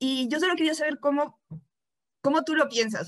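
The background is quiet as a woman talks at a moderate pace. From Mexico. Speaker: interviewer, writer; interviewer. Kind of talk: interview. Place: home room. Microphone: video call.

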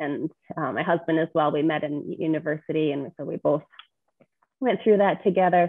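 In a Canadian accent, a woman speaks at a moderate pace with ordinary pitch variation. The background is quiet. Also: dry sound with no echo. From Edmonton, Alberta, Canada. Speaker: real estate investor; podcast guest. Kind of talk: podcast interview. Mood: friendly, smiling. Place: home room. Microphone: video call.

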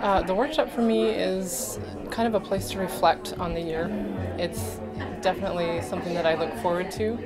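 Over loud background music, a woman talks at a moderate pace. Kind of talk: interview answer. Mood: reflective, warm. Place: meeting room. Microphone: handheld.

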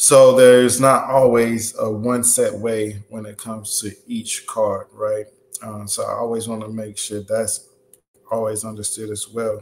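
A man speaks at a fairly slow pace. His intonation is flat and monotone. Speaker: livestream host. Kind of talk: lecture. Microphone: webcam.

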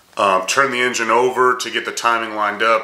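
Monotone, flat intonation in a space with audible room echo. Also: man. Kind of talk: casual vlog chat.

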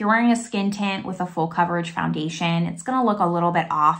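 A woman with an American accent speaks with fairly even intonation over a quiet background. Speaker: beauty YouTuber. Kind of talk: product review video. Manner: casual, chatty. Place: home room. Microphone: phone near.

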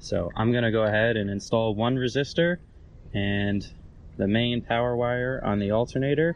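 A man at a moderate pace, with ordinary pitch variation, a dry sound with no echo and light background noise. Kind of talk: tutorial. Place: garden. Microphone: phone near.

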